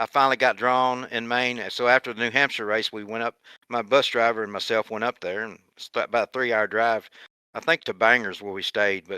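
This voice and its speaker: A man with an American accent speaks at a medium pitch and a fairly quick pace, with fairly even intonation and a bright, sharp tone. The recording is very clean, with a silent background and a dry, close sound with no echo. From Kentucky, US. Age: 60s. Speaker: retired racing driver. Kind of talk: podcast interview.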